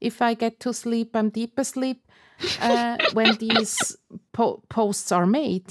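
A woman with a non-native accent speaks very slowly at a fairly high pitch. Her loudness stays very even, and the sound is dry and close with no echo. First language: not English. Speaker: podcast co-host and editor. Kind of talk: casual chat.

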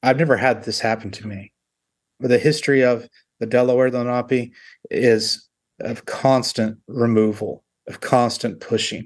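A man with an American accent speaks at a medium pitch and moderate pace, in a monotone, flat intonation with big swings in loudness, over a quiet background. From Oklahoma, Tahlequah. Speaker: artist and scholar. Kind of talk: interview. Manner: halting, many fillers.

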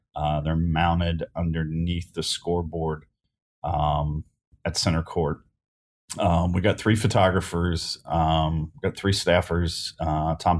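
A man with an American accent speaks at a fairly slow pace in a very deep, low, monotone voice with flat intonation, in a very clean recording with a silent background. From Northern Kentucky, US. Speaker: sports photographer. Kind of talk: casual interview. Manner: hesitant, many fillers.

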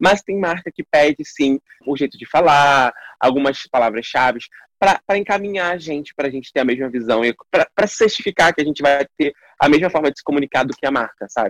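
A man with an unremarkable speaking voice and a fairly high pitch talks at a fairly quick pace with lively intonation, and the sound is dry and close with no echo. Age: 20s. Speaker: actor and digital influencer. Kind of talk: casual interview.

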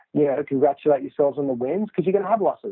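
With an Australian accent, a man speaks in a fairly high pitch with ordinary pitch variation. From Australia, Sydney. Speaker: entrepreneur, founder of a golf training company. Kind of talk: interview. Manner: hesitant, many fillers.

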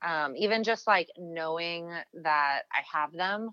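A woman's voice comes through with a bright, sharp tone. The sound is dry and close, with no echo. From born in US to British parents, identifies as English. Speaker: singer in a band. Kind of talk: casual chat.

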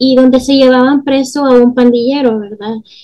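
The speaker is a woman. Her pitch is high. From El Salvador. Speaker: family and marriage therapist, podcast host. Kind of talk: interview.

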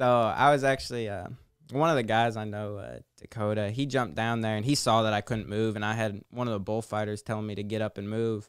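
Over a very clean recording with a silent background, a man with a plain, everyday voice speaks fairly quickly at a fairly low pitch. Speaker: guest, former hockey player.

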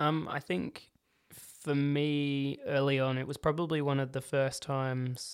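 The recording is very clean, with a silent background. A man with an Australian accent speaks at medium pitch in a monotone, flat intonation. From Australia, Adelaide northern suburbs. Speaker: paediatric occupational therapist. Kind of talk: casual interview.

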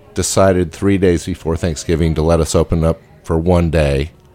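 Over background music, a man with a very deep, low pitch talks at a moderate pace with fairly even intonation. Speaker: chef and restaurant owner. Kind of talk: casual chat. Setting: studio.

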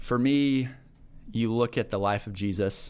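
Fairly even intonation from a man at a medium pitch, over a silent background on a very clean recording. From Kansas (Manhattan). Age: 30s. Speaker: ministry leader. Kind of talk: casual interview.

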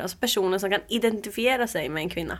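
Here a woman has a plain, everyday voice at a medium pitch. She talks at a fairly quick pace with lively intonation. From Uppsala, Sweden. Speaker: community group founder. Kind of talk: interview.

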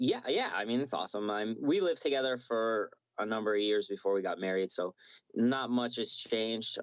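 This man has an unremarkable speaking voice, medium in pitch, delivered at a moderate pace. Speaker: MMA fighter. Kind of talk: casual interview. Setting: video call.

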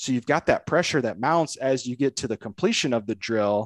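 Recorded dry and close with no echo against a quiet background, a man with an American accent uses a normal speaking voice at a moderate pace. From northern Indiana, US Midwest. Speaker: golf instructor and podcast host. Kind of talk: casual interview conversation.

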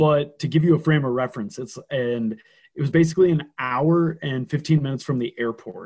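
A man with an American accent sounds somewhat breathy, his pitch varying in an ordinary way. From Minnesota, small town Detroit Lakes. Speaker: wrestler. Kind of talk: casual interview chat, storytelling.

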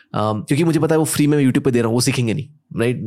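A man with a medium-pitched voice and a dark, mellow tone, captured in a very clean recording with a silent background. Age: 20s. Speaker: entrepreneur and business coach. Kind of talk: casual chat.

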